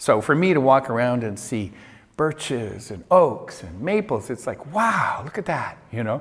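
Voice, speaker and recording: Speaking at a moderate pace with a Canadian accent, a man holds a medium pitch that moves in very wide swings. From Canada, Vancouver Island. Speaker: lecturer. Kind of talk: lecture. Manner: conversational.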